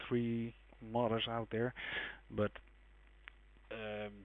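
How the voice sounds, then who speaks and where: With a non-native accent, a man speaks at medium pitch in a monotone, flat intonation. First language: not English. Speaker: game modding tutorial maker. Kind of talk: tutorial. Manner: casual, hesitant with fillers.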